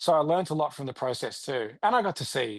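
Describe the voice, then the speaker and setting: With an Australian accent, a man talks at a fairly quick pace with ordinary pitch variation. The background is quiet. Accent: Australian, leaning into it. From Australia, rural Victoria. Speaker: country singer-songwriter. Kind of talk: interview. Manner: animated.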